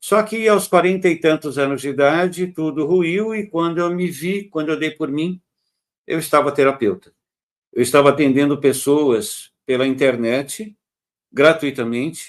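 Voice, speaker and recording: Here a man talks at a fairly slow pace in a plain, everyday voice. His pitch is fairly high and varies in an ordinary way. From Brazil, Santos, São Paulo state. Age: 60s. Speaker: holistic therapist. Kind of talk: interview. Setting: live stream.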